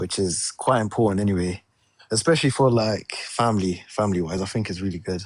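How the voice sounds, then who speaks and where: Speaking with a London accent, a man talks at a fairly quick pace in a fairly low voice with ordinary pitch variation. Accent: British, London. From England, London. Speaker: security analyst, caller. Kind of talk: casual chat.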